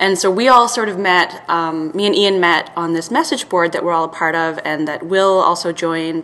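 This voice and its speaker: Amid noticeable background noise, a woman with a fairly low pitch speaks at a moderate pace, showing ordinary pitch variation and hardly any pauses. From Serbia. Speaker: film title design writer and editor. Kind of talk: casual chat.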